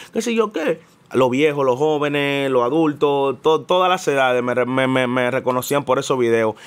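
Keeping his loudness very even, a man speaks with ordinary pitch variation. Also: moderate pace. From Dominican Republic, Santo Domingo; Dominican Republic. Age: young. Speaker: musician and comedian; comedian. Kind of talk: casual interview. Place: studio. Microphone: studio mic.

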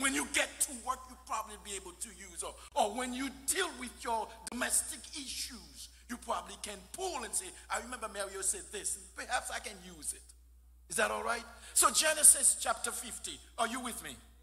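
Loudness swings a lot as a man talks at a moderate pace. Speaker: guest preacher. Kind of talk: sermon. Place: church. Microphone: podium.

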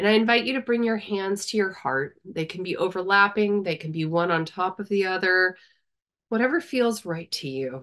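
A woman's medium-pitched voice, gentle in tone, with lively intonation over a quiet background. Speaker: meditation guide. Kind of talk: guided meditation. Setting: video call. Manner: gentle, inviting, unhurried, with long pauses. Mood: calm, soft, soothing. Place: home room. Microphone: video call.

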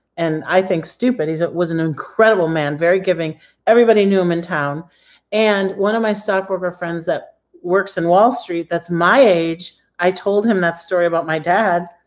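Speaking with an American accent, a woman with a fairly low pitch talks at a moderate pace with ordinary pitch variation against a quiet background. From Michigan, US. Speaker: credit repair coach. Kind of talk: live-streamed tutorial. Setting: live video stream. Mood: chatty, excited at times. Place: kitchen. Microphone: phone near.

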